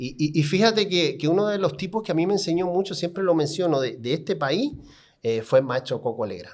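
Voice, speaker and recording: Against a silent background in a very clean recording, a man with a high pitch talks at a fairly quick pace with lively intonation. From Cuba, Havana. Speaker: car salesman and sales trainer. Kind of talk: podcast interview storytelling. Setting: podcast studio. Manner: animated.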